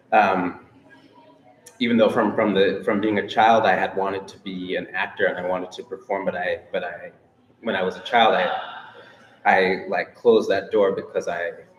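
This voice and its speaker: A man talks at a moderate pace, pausing long and often, with noticeable background noise behind him. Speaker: musician. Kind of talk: panel discussion. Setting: audience in a circle, unamplified. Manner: halting, repetitive.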